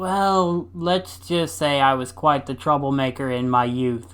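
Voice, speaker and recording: A man speaks in a put-on character voice at medium pitch. His pace is fairly slow. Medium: read story. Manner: gruff, stubborn.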